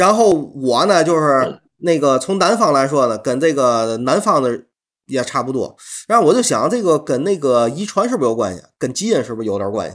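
A Tianjin accent at a fairly quick pace, with very wide pitch swings over a quiet background. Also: man, fairly high pitch for a man. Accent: Tianjin dialect, Mandarin. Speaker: podcast host. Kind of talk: casual chat.

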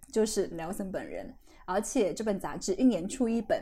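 Her tone is dark and mellow, somewhat breathy, with a fairly high pitch. The woman speaks at a moderate pace with lively intonation. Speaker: guest podcast host and writer. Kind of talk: casual interview chat.

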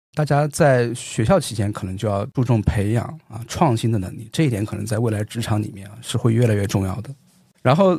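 A somewhat breathy man in a dark, mellow tone at a fairly quick pace, with ordinary pitch variation and big swings in loudness. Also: medium pitch for a man. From Xinjiang, China. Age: 30s. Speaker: economics professor. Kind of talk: casual interview. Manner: frequent filler particles.

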